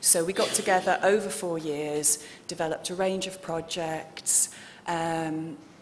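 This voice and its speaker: A woman speaks with a British accent. Her intonation is monotone and flat, at a fairly slow pace. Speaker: researcher. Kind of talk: conference presentation. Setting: conference hall with audience.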